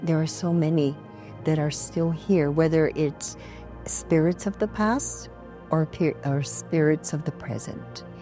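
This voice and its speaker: A woman speaks with music in the background. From Guam. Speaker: storyteller and cultural practitioner. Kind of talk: interview answer.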